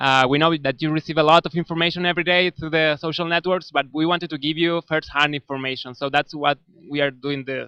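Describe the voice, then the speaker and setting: In a dry, close sound with no echo, a man with a Spanish accent speaks at a very fast pace with hardly any pauses, his fairly high, bright, sharp voice held in a monotone, flat intonation. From Argentina. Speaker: volunteer community manager hosting live stream. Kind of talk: live stream interview. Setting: office with people working, live stream.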